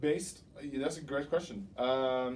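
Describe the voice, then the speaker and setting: The tone is dark and mellow. A man delivers it at a moderate speed. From Norway, Oslo. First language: Norwegian. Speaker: doctoral student. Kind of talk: interview.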